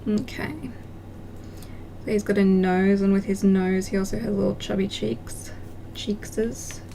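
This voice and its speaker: Noticeable background noise accompanies a woman whose speech has ordinary pitch variation and long, frequent pauses. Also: medium pitch for a woman. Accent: Australian. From country Australia. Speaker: craft livestreamer. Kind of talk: casual livestream chat while crafting. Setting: live stream.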